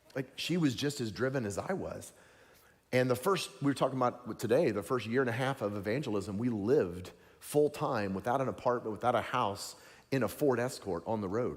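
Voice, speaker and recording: In a Southern US accent, a man talks at a fairly quick pace. His tone is animated and his pitch varies in an ordinary way. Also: medium pitch for a man. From US South, Tennessee. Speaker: evangelist preacher. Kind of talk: sermon.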